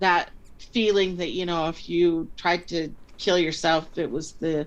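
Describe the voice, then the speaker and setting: A woman with an unremarkable speaking voice, fairly low pitch and fairly even intonation, at a fairly slow pace. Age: 60s. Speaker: life coach. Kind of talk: interview answer.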